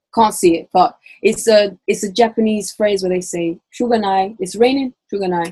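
Somewhat breathy and dark, mellow in tone, a woman speaks at a medium pitch with ordinary pitch variation and a moderate pace. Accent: London. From London. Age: 20s. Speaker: university student. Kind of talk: casual chat.

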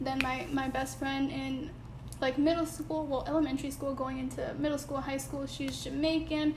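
A woman with an American accent at a moderate pace, with noticeable background noise and audible room echo. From Connecticut, Bridgeport. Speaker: podcast co-host. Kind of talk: casual chat.

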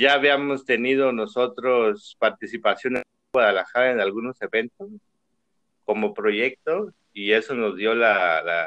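A man's medium-pitched voice at a fairly slow pace. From Chiapas, Mexico. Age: 30s. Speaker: chef and food entrepreneur. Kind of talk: casual chat. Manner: hesitant, repeats words.

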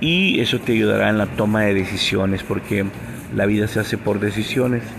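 A man speaks at a moderate pace. Audible room echo and noticeable background noise surround him. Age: 50s. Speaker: podcast preacher. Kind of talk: devotional podcast talk.

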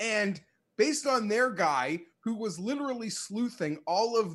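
A man is talking, fairly slowly. Behind him, the background is quiet. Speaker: sports podcast co-host. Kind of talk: casual banter, debate. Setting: remote call. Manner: calm.

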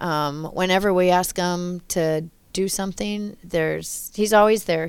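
At a fairly slow pace and with ordinary pitch variation, the speaker has an Upper Midwest accent on a very clean recording with a silent background. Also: woman. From Wisconsin (Loyal, rural). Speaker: city recreation manager. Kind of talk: casual interview.

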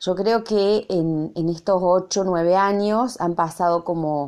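A woman speaks very slowly in a fairly low pitch, her tone dark and mellow. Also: quiet background. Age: 40s. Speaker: university lecturer. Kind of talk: recorded reflection monologue. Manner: halting, many fillers and repetitions.

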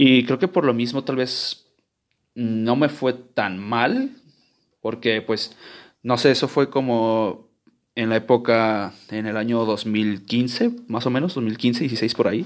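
At a very slow pace, a man speaks at medium pitch with ordinary pitch variation on a very clean recording with a silent background. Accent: Mexican. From Guadalajara, Mexico. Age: 20s. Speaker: podcaster. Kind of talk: casual monologue. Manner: informal, slangy; halting, repeats words.

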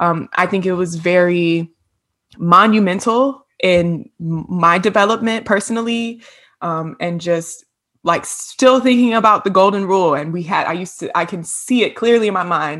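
Speaking at a moderate pace, a woman with an American accent has an ordinary speaking voice, medium pitch, and ordinary pitch variation. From Virginia, US (Hampton). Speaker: podcast co-host, counseling graduate. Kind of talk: casual chat.

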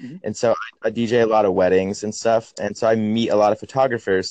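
Here is an unremarkable speaking voice from a man with an American accent and medium pitch. The sound is dry and close, with no echo. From Portland area, US. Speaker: independent musician. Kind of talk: casual phone interview. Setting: phone call.

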